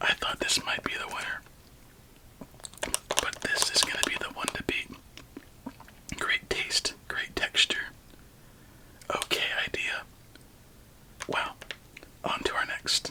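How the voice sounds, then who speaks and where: Whispering at a very slow pace, a man leaves long, frequent pauses over noticeable background noise. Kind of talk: ASMR candy taste test, soft-spoken talk to camera. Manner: soft-spoken, whispered.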